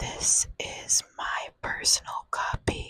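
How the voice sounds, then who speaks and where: A woman whispers her words at a very slow pace. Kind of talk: casual ASMR intro. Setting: close-up microphone. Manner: whispered; slow, soft-spoken.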